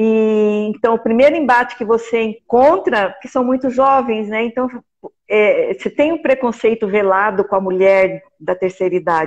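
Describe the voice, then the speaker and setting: An unremarkable speaking voice carries ordinary pitch variation throughout. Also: woman, fairly high pitch for a woman, moderate pace. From Brazil, Mato Grosso do Sul (Campo Grande). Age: 60s. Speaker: art teacher and amateur playwright. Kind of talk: live stream conversation.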